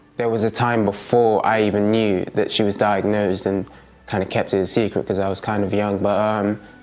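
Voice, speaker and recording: With music in the background, a man talks fairly quickly in a fairly low pitch and a monotone, flat intonation. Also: very even loudness. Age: 20s. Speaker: young carer sharing family story. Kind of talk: testimony. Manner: halting.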